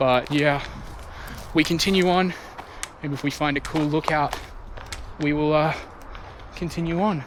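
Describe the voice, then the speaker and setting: A man with an Australian accent, fairly high pitch, fairly even intonation, long and frequent pauses, and noticeable background noise. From Western Australia. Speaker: travel vlogger. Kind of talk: vlog narration while hiking. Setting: outdoors on a forest trail. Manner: drawn-out, casual.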